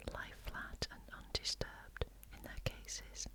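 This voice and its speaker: Whispering with a British accent, a woman speaks at a very slow pace over noticeable background noise. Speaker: ASMR reader. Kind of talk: reading magazine article aloud. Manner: soft-spoken, whispered.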